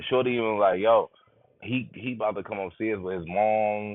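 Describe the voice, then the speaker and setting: Fairly even intonation carries a man's speech at a moderate pace. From New York, Brooklyn. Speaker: live streamer. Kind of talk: storytelling on a live stream. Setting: live stream.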